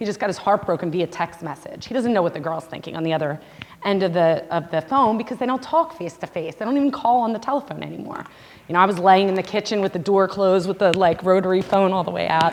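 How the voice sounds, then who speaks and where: A woman at a very fast pace and medium pitch, with lively intonation and noticeable background noise. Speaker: social media marketer giving a parent seminar. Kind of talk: seminar presentation.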